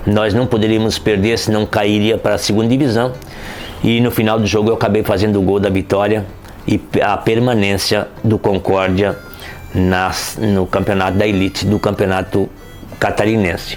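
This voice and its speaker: A man with a fairly low pitch talks at a moderate pace in a monotone, flat intonation. His loudness stays very even over noticeable background noise. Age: 60s. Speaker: retired footballer. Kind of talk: interview storytelling. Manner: casual, conversational with fillers.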